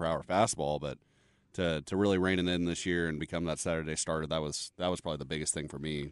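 Over a quiet background, a man with a very deep, low voice talks at a very fast pace in a monotone, flat intonation. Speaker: radio show producer. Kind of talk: casual sports talk radio. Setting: radio studio.

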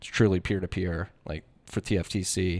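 Someone speaks with an American accent and fairly even intonation. The recording is very clean with a silent background. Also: man. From Philadelphia, US. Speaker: bitcoin podcaster and newsletter writer. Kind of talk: casual interview chat. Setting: conference set.

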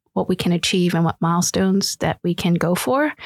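Here is a woman with an ordinary speaking voice, medium in pitch and fairly even in intonation. The sound is dry and close with no echo, on a very clean recording with a silent background. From Philadelphia inner city, refugee from Vietnam. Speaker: startup founder and author. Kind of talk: panel discussion.

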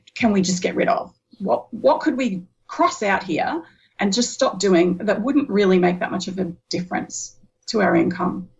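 A woman with an Australian accent sounds somewhat breathy. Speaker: business community co-founder. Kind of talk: interview.

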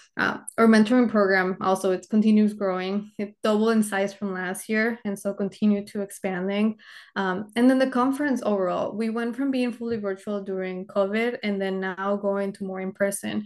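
A woman with a Spanish accent at a medium pitch and moderate pace, her intonation fairly even, in a quiet background. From Mexico (Monterrey). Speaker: engineer. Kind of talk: interview. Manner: halting.

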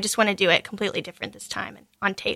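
Talking at a very fast pace, a woman uses a medium-pitched voice. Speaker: singer-songwriter. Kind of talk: casual radio interview. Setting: studio.

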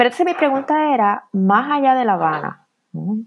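A woman talks with very wide swings in pitch. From Puerto Rico. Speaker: professor, author. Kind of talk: interview about her book. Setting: remote interview. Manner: hesitant, many fillers.

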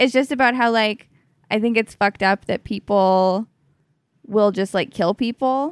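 In a plain, everyday voice, a woman talks at a moderate pace with ordinary pitch variation, the sound dry and close with no echo. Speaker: stand-up comedian. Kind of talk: casual chat. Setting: at her home.

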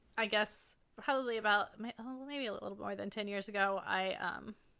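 A woman speaks at a fairly quick pace with medium pitch and fairly even intonation. It is a plain, everyday voice on a very clean recording with a silent background. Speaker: podcast co-host, photographer. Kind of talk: casual chat between co-hosts.

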